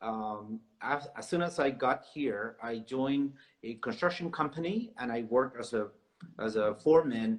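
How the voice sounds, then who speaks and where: A man with a Spanish accent speaks at a medium pitch and moderate pace, with ordinary pitch variation. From South America. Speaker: realtor. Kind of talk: interview.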